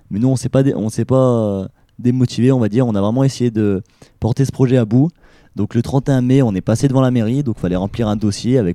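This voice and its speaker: Dry and close with no echo, the recording captures a man at medium pitch with a dark, mellow tone, ordinary pitch variation and a fairly quick pace. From Saint-Étienne area, France. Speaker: student festival organizer. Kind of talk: radio interview. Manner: hesitant, many fillers.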